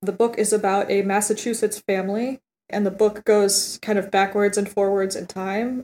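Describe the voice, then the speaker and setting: A woman speaks at a medium pitch in a dark, mellow tone with flat, monotone intonation. The recording is very clean and dry, close with no echo and a silent background. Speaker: podcast co-host. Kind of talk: casual chat.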